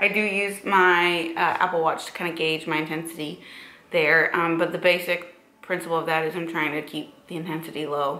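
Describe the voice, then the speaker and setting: Amid audible room echo and noticeable background noise, a woman speaks at a moderate pace in a fairly low pitch with monotone, flat intonation. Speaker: fitness vlogger and bikini competitor. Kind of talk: casual vlog talk. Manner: casual with filler words.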